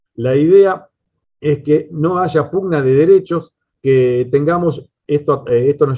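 His voice is fairly high for a man, with ordinary pitch variation. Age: 40s. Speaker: radio station owner. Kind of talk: prepared talk at virtual panel. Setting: virtual round table. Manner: halting with fillers.

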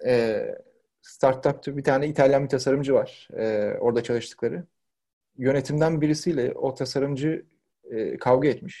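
A man's somewhat breathy voice, fairly high in pitch, with a dark, mellow tone, fairly even intonation and a moderate pace. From Turkey, Izmir (Karşıyaka). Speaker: product design lead. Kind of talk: casual interview.

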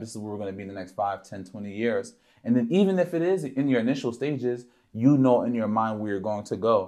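A man speaks at a fairly quick pace in a medium pitch, his tone dark and mellow, with ordinary pitch variation. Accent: American. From Philadelphia. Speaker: co-host, poet and PR director. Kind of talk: casual chat.

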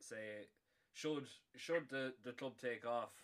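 A man speaks with an Irish accent. His pace is very slow. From Ireland. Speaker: podcast host. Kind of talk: casual chat; show intro.

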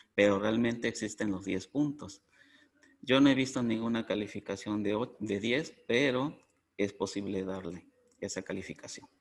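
A plain, everyday voice belongs to a man with a fairly low pitch, who talks at a moderate pace with ordinary pitch variation. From Mexico. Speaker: coffee cupping instructor. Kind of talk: interview.

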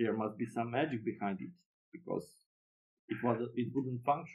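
Here a man speaks at a moderate pace with a Serbian accent. His pitch sits in the medium range. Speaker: board game designer. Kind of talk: interview.

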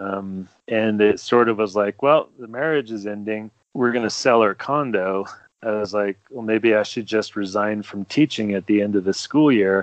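A man with an American accent talks at a fairly low pitch in an unremarkable speaking voice, his intonation fairly even. The sound is dry and close with no echo, over a quiet background. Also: moderate pace. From New Jersey. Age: 50s. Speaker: ultra running photographer. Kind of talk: casual chat.

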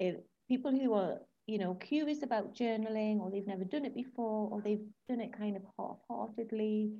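Somewhat breathy and fairly high, this woman's voice has a dark, mellow tone, ordinary pitch variation and a moderate pace. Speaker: podcast host. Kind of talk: casual interview chat.

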